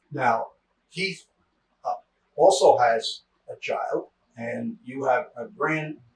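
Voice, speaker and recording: A man speaks at a very slow pace, with long, frequent pauses and big swings in loudness. Audible room echo and light background noise fill the recording. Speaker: interviewer. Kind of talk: interview. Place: home room.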